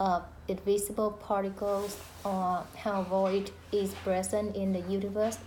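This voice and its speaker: Speaking at a very slow pace, a woman with a medium pitch and a dark, mellow tone sounds somewhat breathy, her intonation monotone and flat, with audible room echo. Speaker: student. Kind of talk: class discussion recording. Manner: hesitant, many fillers.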